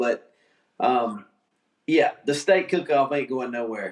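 In an American accent, a man with a normal speaking voice talks at a fairly slow pace. His pitch is fairly high, with ordinary variation. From US South, Georgia. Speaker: barbecue association figure. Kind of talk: casual interview. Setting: video call.

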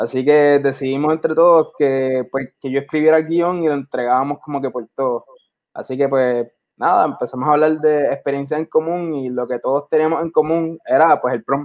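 A man's plain, everyday voice, fairly high in pitch, at a moderate pace with fairly even intonation. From Puerto Rico. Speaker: filmmaker. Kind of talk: interview.

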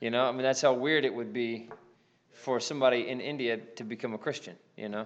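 A man with an American accent talks at a fairly quick pace. His pitch is medium. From United States. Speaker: pastor. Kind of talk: church class discussion and closing prayer.

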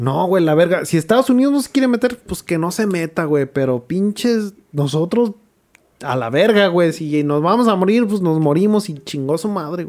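A man with a high-pitched voice speaks at a moderate pace. His intonation is lively. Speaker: podcast co-host. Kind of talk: casual storytelling about history.

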